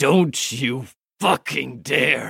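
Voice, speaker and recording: A raspy, growling put-on character voice with a dry, close sound and no echo. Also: man. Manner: growling, threatening.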